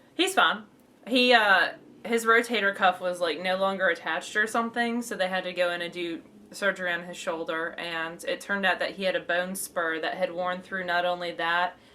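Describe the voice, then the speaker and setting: A woman speaks with a Southern accent at a fairly quick pace. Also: medium pitch for a woman. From western New York. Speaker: knitting podcast co-host. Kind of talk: casual chat. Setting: home recording.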